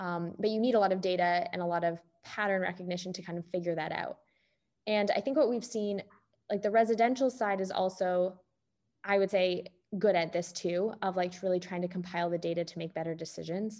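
Using an unremarkable speaking voice, a woman with a Canadian accent talks at a fairly quick pace and medium pitch with fairly even intonation, on a very clean recording with a silent background. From Canada. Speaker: venture capital investor. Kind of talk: interview.

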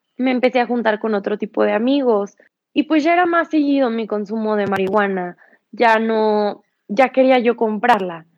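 Over a quiet background, a woman speaks at a moderate pace with a fairly high pitch, ordinary pitch variation, and a plain, everyday voice. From Mexico, San Luis Potosí. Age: 20s. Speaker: yoga teacher in addiction recovery. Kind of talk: personal testimony. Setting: live stream.

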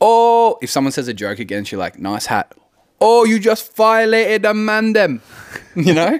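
The speaker is a man with an Australian accent. He talks at a moderate pace. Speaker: podcast co-host. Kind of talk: casual chat. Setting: on a couch at home.

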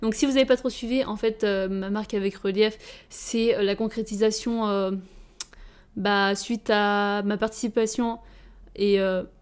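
A woman's medium-pitched voice, flat and monotone in intonation, at a fairly slow pace. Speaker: fashion designer. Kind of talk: casual solo monologue.

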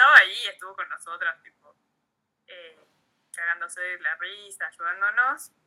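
Big swings in loudness, long and frequent pauses, a moderate pace, a bright, sharp tone and ordinary pitch variation, with an Argentine accent. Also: woman, medium pitch for a woman. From Argentina, Neuquén (Junín de los Andes). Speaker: muralist and artist. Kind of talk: casual interview.

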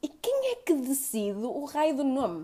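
A woman's dark, mellow tone at a very slow pace. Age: 20s. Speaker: podcaster. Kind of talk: solo monologue podcast.

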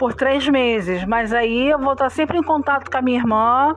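There is noticeable background noise as a woman speaks at a moderate pace. Her pitch is high, with ordinary variation. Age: 40s. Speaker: podcast co-host. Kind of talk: casual chat.

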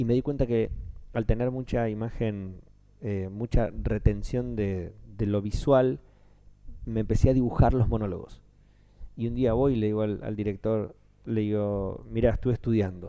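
A man's dark, mellow voice at fairly low pitch, with fairly even intonation, a moderate pace and long, frequent pauses. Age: 30s. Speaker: voice actor. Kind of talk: interview conversation.

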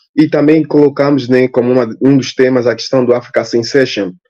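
Here a man talks with an Angolan accent. His pitch is medium. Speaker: linguistics graduate student. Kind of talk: panel discussion.

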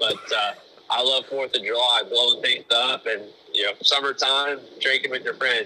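With noticeable background noise around him, a man talks at a moderate pace. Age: 20s. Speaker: sprint car crew chief. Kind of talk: casual interview.

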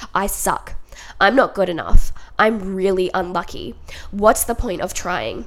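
Upbeat and animated, a woman with an Australian accent talks at a fairly slow pace. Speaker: podcast host. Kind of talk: solo podcast monologue, casual self-help talk. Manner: chatty, upbeat, animated.

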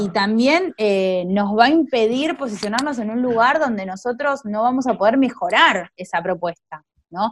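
A woman's fairly high, lively voice at a moderate pace, a plain, everyday voice. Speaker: podcast host, teacher. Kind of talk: casual chat.

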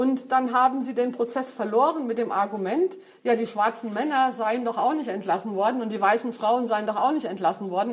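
A woman with a normal speaking voice and a fairly high pitch moves at a fairly quick pace, her pitch varying in an ordinary way. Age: 50s. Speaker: feminist speaker. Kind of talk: lecture.

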